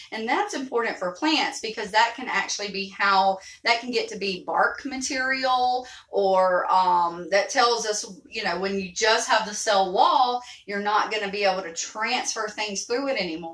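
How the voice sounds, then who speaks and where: With audible room echo and noticeable background noise, a woman speaks at a fairly high pitch and a moderate pace with ordinary pitch variation. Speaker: teacher. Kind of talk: lecture.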